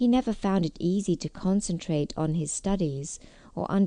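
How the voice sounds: Ordinary pitch variation from a natural reading voice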